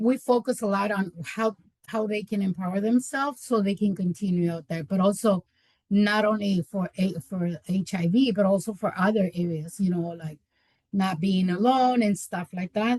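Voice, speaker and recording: Speaking at a moderate pace with a Spanish accent, a woman sounds somewhat breathy, her medium pitch showing ordinary variation. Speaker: community health worker. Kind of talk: webinar presentation. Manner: halting, many repetitions.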